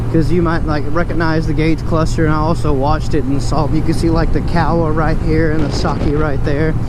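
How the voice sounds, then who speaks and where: With an American accent, a man talks at a fairly quick pace with hardly any pauses and very even loudness, over audible room echo and noticeable background noise. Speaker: motorcycle vlogger, military service member. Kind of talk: casual vlog. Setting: riding a motorcycle outdoors. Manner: fast; animated.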